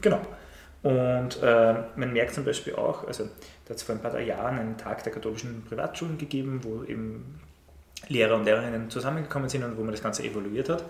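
Noticeable background noise and audible room echo fill the recording. A man at medium pitch talks at a fairly quick pace with ordinary pitch variation. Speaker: teacher. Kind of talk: casual chat.

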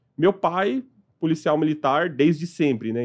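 This man has a normal speaking voice, pitched fairly high, with lively intonation. He keeps a moderate pace against a quiet background. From São Paulo, Brazil (partly raised in Piauí). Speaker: company revenue director. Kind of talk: interview conversation.

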